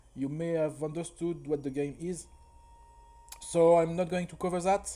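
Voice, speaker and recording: With a French accent, a man speaks at a high pitch. His intonation stays fairly even. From France. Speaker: speedrunner. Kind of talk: tutorial. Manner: halting, frequent repetitions.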